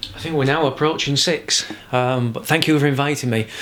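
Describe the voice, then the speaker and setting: A man with a Yorkshire accent talks at a fairly quick pace. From Yorkshire, England. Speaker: crime novelist. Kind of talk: interview answer.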